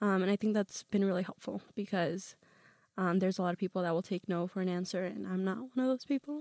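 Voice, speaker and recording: A woman speaks at a very fast pace, her sound dry and close with no echo. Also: medium pitch for a woman, ordinary pitch variation. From US (born in Peru, moved at five). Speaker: student organizer. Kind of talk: casual interview.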